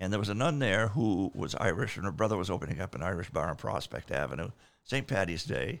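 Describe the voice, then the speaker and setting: A man's fairly low voice with vocal fry and very wide pitch swings, at a very fast pace, on a very clean recording with a silent background. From Maine, South Portland. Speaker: rock keyboardist. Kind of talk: casual chat.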